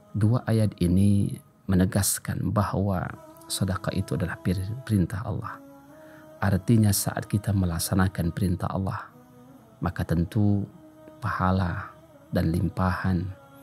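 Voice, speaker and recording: A man talks at a fairly slow pace and a fairly low pitch with fairly even intonation, leaving long, frequent pauses while faint music plays in the background. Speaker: Islamic preacher. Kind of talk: Islamic sermon (kajian). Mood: calm, earnest. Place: studio. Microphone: studio mic.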